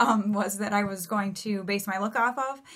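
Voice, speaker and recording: A woman's voice at a moderate pace. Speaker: beauty vlogger. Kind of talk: casual vlog chat. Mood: cheerful, chatty. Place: home room. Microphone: phone near.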